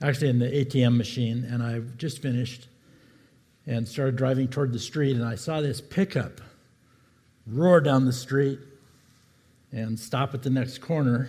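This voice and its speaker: A man with a medium pitch and a dark, mellow, somewhat breathy tone speaks at a moderate pace with fairly even intonation and long, frequent pauses. The room echo is audible. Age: 70s. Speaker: pastor. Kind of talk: sermon. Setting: church.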